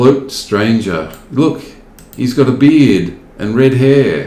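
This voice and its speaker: Speaking very slowly with lively intonation, a man with an Australian accent and a medium pitch is heard with audible room echo and noticeable background noise. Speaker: gaming video host. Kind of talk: casual gameplay commentary. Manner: animated.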